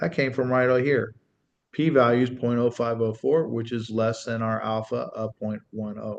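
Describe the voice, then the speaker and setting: A man with a plain, everyday voice talks at a medium pitch and moderate pace, keeping his intonation fairly even. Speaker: statistics teacher. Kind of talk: tutorial.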